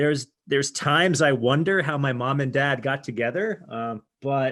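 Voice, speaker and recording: This man has a plain, everyday voice, pitched fairly high and delivered at a moderate pace. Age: 40s. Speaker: tech entrepreneur. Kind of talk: interview.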